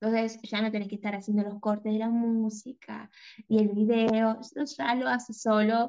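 At a fairly slow pace, a woman with a fairly high pitch speaks in a dark, mellow tone with fairly even intonation. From Argentina, small town near the Chilean border. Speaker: graphic designer and content creator. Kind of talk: interview conversation.

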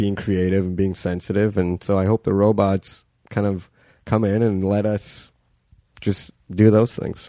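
A man with a Canadian accent and an ordinary speaking voice talks at a moderate pace with fairly even intonation against a quiet background. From Canadian steel town. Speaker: stand-up comedian and writer. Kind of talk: casual chat.

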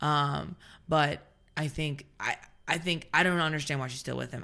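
A woman's very deep, low voice in an American accent, bright and sharp in tone, fairly quick with fairly even intonation, on a very clean recording with a silent background. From US South. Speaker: teacher. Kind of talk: casual chat.

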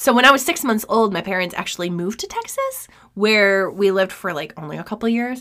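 A woman's very fast, fairly high voice with an American accent and lively intonation, noticeable background noise behind it. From New York State. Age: 30s. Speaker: true crime podcast host. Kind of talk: casual chat and case narration.

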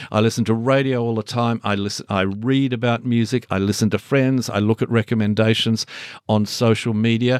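A man's medium-pitched voice in an Australian accent, monotone and flat, with a dry, close sound and no echo. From Launceston, Tasmania. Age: 60s. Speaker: music journalist and author. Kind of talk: interview about his book.

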